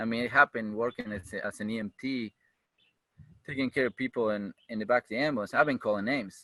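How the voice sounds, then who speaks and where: In a Uruguayan accent, a man speaks very fast at medium pitch. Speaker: firefighter and EMT. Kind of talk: interview. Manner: animated.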